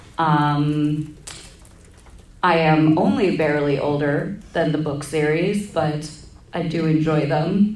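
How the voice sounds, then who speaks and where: Against noticeable background noise, a woman with a very deep, low pitch speaks very slowly with fairly even intonation and long, frequent pauses. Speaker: convention panelist, cosplayer. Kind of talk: casual, joking. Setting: convention panel.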